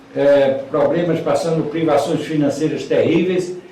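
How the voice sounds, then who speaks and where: A man speaks in a monotone, flat delivery. Audible room echo and noticeable background noise surround him. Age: 70s. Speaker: man giving religious testimony. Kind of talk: testimony. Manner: halting, with many fillers and repetitions.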